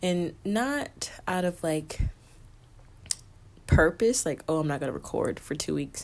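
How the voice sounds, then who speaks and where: A woman speaks with lively intonation on a very clean recording with a silent background. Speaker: podcast host. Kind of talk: casual solo podcast monologue. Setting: recording late at night. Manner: talking low.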